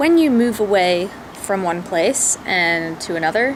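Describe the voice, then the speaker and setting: A woman with an American accent speaks with ordinary pitch variation. Noticeable background noise and audible room echo are present. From southeastern West Virginia. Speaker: vlogger. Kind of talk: personal vlog monologue.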